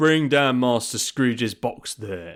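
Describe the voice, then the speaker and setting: In a booming, put-on character voice, the speaker delivers lines at a fairly slow pace. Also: man. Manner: harsh, commanding.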